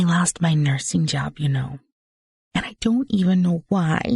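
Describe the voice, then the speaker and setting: Put on as a character, this whiny voice sits at a middle pitch, moderate in pace and whiny in tone. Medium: read story. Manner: confidential, whiny.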